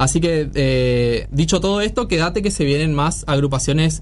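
Noticeable background noise sits behind this man's voice. He speaks at a moderate pace with a fairly high pitch. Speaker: radio host. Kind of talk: casual radio interview.

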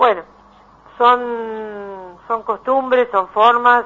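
A woman is speaking. Her pace is very slow. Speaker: psychologist. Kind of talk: radio interview.

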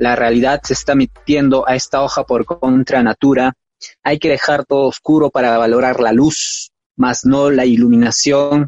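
Speaking in a flat monotone, a man keeps a medium pitch and a moderate speed. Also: very even loudness, dry, close sound with no echo. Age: 30s. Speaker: poet. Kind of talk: poetry reading. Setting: live-streamed on Facebook.

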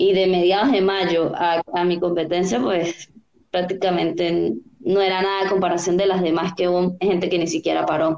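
A woman speaks at a moderate pace with very even loudness and fairly even intonation. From Venezuela, Táchira. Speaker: olympic open water swimmer. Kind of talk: interview.

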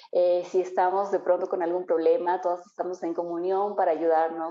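The speaker is a woman. Her pitch is fairly low. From Ambato, Ecuador (highlands). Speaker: entrepreneur, cosmetologist. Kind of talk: interview. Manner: halting, many fillers.

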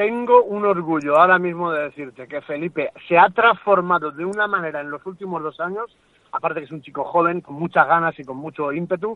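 A man with a high-pitched voice talks at a fairly quick pace. His pitch varies in an ordinary way. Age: 40s. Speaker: MMA fighter and coach. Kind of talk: interview. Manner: animated.

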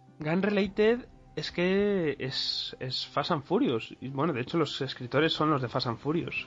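A fairly high-pitched man with lively intonation at a fairly slow pace, music in the background. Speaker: podcast host. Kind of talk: casual chat.

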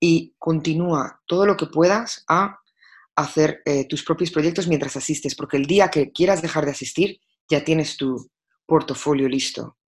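A woman speaks at a fairly slow pace in a very deep, low voice against a quiet background. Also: ordinary pitch variation. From Spain, Madrid. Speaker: fashion stylist and creative director. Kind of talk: interview.

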